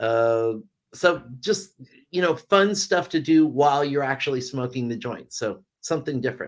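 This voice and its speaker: An ordinary speaking voice with an American accent moves at a moderate pace with lively intonation. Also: man, fairly high pitch for a man. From California. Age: 60s. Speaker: cannabis reviewer and author. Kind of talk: casual interview.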